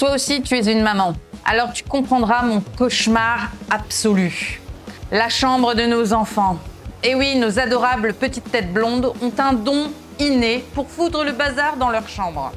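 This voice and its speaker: With music playing in the background, the speaker proceeds at a fairly slow pace. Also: woman, high pitch for a woman, ordinary pitch variation. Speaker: mother of three, self-development and home-reset content creator. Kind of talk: casual talk to camera, motivational vlog. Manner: direct, friendly, addressing viewer as 'tu'.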